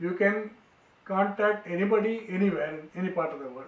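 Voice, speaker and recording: A man with an Indian accent at a moderate pace, ordinary pitch variation and noticeable background noise. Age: 80s+. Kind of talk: storytelling to grandchildren.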